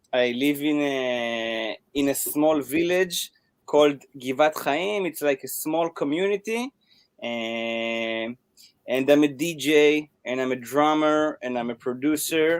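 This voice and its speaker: Dry and close with no echo, a man's fairly high voice moves at a very slow pace with ordinary pitch variation. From Israel. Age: 20s. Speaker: DJ and drummer. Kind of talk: interview. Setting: live video call.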